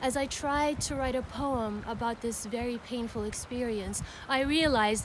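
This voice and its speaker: Audible room echo surrounds a woman speaking at a fairly high pitch with ordinary pitch variation. Her pace is moderate. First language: Arabic. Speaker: poet. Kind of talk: spoken word introduction.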